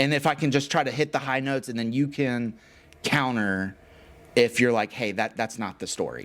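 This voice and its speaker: Using a plain, everyday voice, a man speaks at a medium pitch and moderate pace with ordinary pitch variation. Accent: American. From Texas, Houston. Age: 40s. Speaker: podcast host. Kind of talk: casual interview. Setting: studio.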